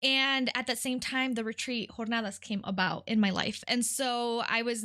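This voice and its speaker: A bright, sharp voice with a Spanish accent comes through over a quiet background. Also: woman. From Detroit, Michigan (from age 8; born in California). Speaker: nonprofit worker. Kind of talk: podcast interview, personal testimony. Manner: frequent hesitations (um).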